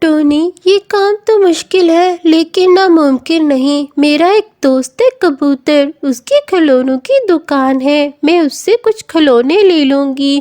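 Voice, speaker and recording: Using a cartoonish character voice at an extremely high pitch, a woman speaks at a fairly slow pace with hardly any pauses. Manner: warm, kindly.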